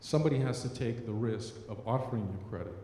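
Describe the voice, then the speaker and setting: Speaking at a moderate pace, a man uses a medium pitch with ordinary pitch variation, and audible room echo surrounds him. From US-raised, son of immigrants. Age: 40s. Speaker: member of the public. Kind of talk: public comment testimony. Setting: public meeting.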